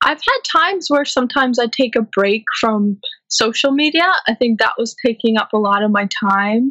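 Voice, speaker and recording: A woman with an American accent speaks at a moderate pace in a high voice, her tone bright and sharp and her intonation lively, the sound dry and close with no echo. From St. Louis, US Midwest. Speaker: running coach and founder. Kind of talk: casual interview. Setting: podcast interview.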